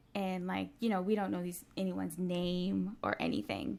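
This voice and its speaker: A soft-spoken woman talks at a medium pitch. The recording is very clean, with a silent background. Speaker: dancer and Broadway performer. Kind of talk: casual interview.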